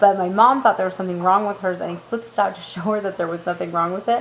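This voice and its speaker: This woman's pitch sits in the medium range. Noticeable background noise runs underneath. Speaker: mother of four boys. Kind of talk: casual talk to camera.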